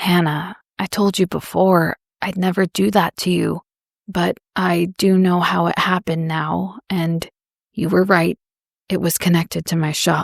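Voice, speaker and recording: Putting on a character voice, a woman speaks raspily at a fairly low pitch and moderate pace with fairly even intonation. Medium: read story. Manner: calm, careful.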